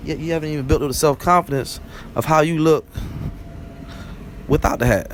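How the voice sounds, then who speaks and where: Over noticeable background noise, the speaker goes at a fairly quick pace with fairly even intonation, broken by long, frequent pauses. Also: man, fairly high pitch for a man. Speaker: vlogger. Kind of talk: casual monologue. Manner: fast; rambling, conversational.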